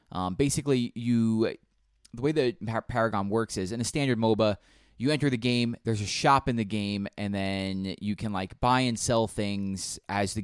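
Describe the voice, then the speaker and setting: In a normal speaking voice, a man talks at a moderate pace with fairly low pitch and ordinary pitch variation. The very clean recording has a silent background and a dry, close sound with no echo. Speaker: podcast host. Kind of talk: casual chat.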